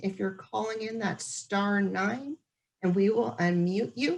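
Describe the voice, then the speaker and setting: Fairly slow delivery in an ordinary speaking voice. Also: woman. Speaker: transit agency staff moderating public meeting. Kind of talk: virtual community meeting Q&A. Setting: video call.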